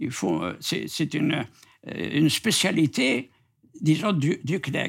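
A man speaks at a very slow pace. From Algeria. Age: 80s+. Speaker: writer. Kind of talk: interview. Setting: at his home.

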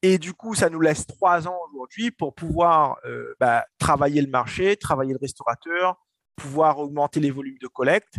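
Dry and close with no echo, a man's fairly high voice moves at a moderate pace with ordinary pitch variation. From Réunion, Saint-Denis. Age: 20s. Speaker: entrepreneur. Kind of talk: interview. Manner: animated; halting.

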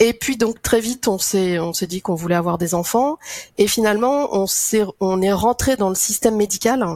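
A woman with an ordinary speaking voice, medium in pitch, with ordinary pitch variation and a moderate pace. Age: 50s. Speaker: association director, mother sharing infertility story. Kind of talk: testimony.

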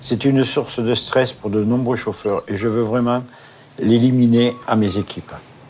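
Noticeable background noise sits behind a man speaking at a fairly slow pace with monotone, flat intonation. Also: medium pitch for a man. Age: 50s. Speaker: transport operations manager. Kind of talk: interview.

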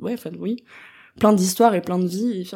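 A woman of medium pitch speaks with a dark, mellow tone and fairly even intonation in a very clean recording with a silent background. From France, Strasbourg (Alsace). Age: 20s. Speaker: student and arts intern. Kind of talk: casual interview.

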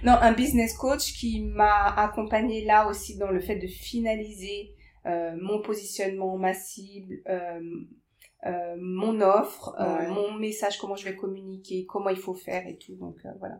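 An ordinary speaking voice: a woman at medium pitch, fairly slow and fairly even in intonation, with big swings in loudness. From Paris suburbs, France. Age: 30s. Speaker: life coach. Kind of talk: casual interview.

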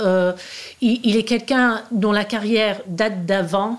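This woman talks at a very slow pace. Her voice is medium in pitch. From Australia and Canada, born in the US. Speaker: novelist. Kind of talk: interview. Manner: halting, many repetitions and hesitations.

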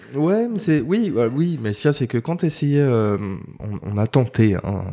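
A very clean recording of a man, set against a silent background. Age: 30s. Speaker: father and furniture designer. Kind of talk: casual interview. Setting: office. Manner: halting, many fillers.

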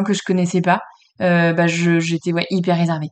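A woman's fairly low voice in a monotone, flat intonation at a moderate pace against a quiet background. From France, Le Mans. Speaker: real estate agency founder. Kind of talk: interview.

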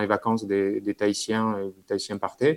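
This man uses a fairly low pitch and keeps a moderate pace. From French Basque Country (Bayonne). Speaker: dentist and big-wave surfer. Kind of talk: interview.

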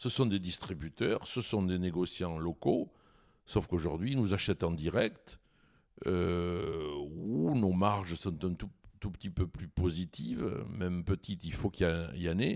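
A man speaks with a very deep, low voice at a fairly slow pace. His pitch varies in an ordinary way. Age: 70s. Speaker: winegrower. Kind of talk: interview. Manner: halting, with frequent repetitions and hesitations.

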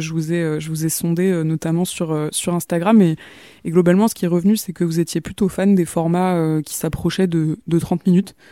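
A woman's fairly low, dark and mellow voice at a fairly quick pace, fairly even in intonation, dry and close with no echo. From Paris region, France. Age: 30s. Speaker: podcast host. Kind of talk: solo podcast monologue. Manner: halting, many fillers and repetitions.

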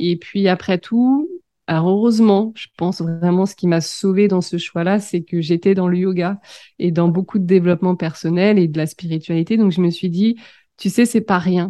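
A woman has a normal speaking voice, fairly low in pitch. She keeps a moderate pace with ordinary pitch variation. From France, Seine-et-Marne. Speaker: business coach. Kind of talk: interview.

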